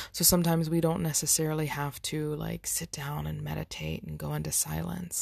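The voice is soft-spoken, with a gentle tone. The recording is very clean, with a silent background. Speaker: spiritual wellness podcaster. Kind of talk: spiritual self-help monologue. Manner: slowing, soft and gentle toward the end.

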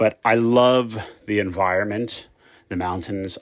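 A normal speaking voice with fairly even intonation comes through a very clean recording with a silent background. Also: man. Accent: American. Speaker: caller.

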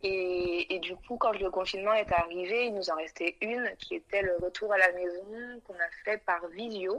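Hers is an ordinary speaking voice with ordinary pitch variation. The woman talks at a fairly slow pace with hardly any pauses. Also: medium pitch for a woman. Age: 20s. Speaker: young mother. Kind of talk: testimony.

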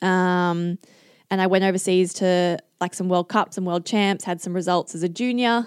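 With an Australian accent, a woman speaks at a moderate pace and medium pitch with fairly even intonation, in a dry, close recording with no echo, very clean and with a silent background. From Singapore, then Australia. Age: 20s. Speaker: Olympic kayaker. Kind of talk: casual chat.

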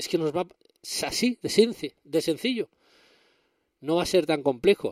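A man with a high pitch and lively intonation speaks at a fairly slow pace in a very clean recording with a silent background and a dry, close sound with no echo. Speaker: tech podcast host. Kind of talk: casual solo podcast monologue.

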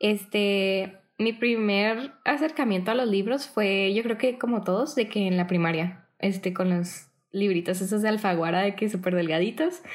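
This woman has a plain, everyday voice at medium pitch. She speaks at a fairly slow pace with ordinary pitch variation. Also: very even loudness. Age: 20s. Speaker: book content creator. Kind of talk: casual interview chat.

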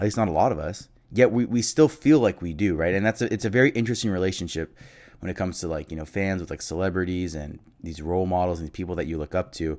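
On a very clean recording with a silent background, a man with an American accent speaks very fast in a very deep, low voice with ordinary pitch variation. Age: 20s. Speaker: sports podcast host. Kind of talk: solo podcast monologue. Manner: halting, many fillers.

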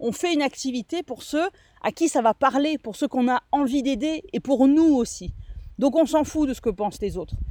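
The recording is very clean with a silent background, and the speech comes at a moderate pace. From southern France, Nice. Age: 30s. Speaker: social media coach and podcast host. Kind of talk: solo podcast monologue. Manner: hesitant, frequent fillers.

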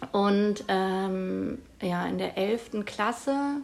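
A woman talks at a medium pitch with ordinary variation in her pitch. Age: 30s. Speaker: teacher. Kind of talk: interview. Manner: hesitant, many fillers.

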